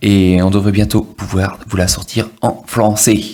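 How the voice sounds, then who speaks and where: A man speaks in a fairly low pitch with a monotone, flat intonation. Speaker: tech reviewer. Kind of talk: product review tutorial. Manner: hesitant, many fillers.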